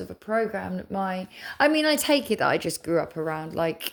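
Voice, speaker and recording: In a very clean recording with a silent background, a woman with an English accent talks at a moderate pace and a medium pitch. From England. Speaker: spiritual content creator. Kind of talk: casual chat. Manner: rambling, halting.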